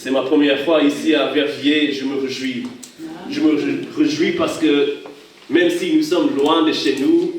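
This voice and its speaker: Recorded with audible room echo and noticeable background noise, a man with an English accent speaks at a fairly slow pace. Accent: English-speaking accent in French. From Hawaii. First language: English (speaking French). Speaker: pastor. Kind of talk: sermon. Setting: church. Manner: halting.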